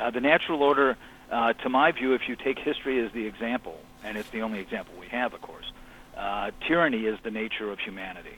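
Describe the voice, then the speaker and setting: Talking at a very fast pace, a man with an American accent keeps a medium pitch and ordinary pitch variation while his loudness swings widely. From US Midwest (Chicago). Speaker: author. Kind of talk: interview. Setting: phone call.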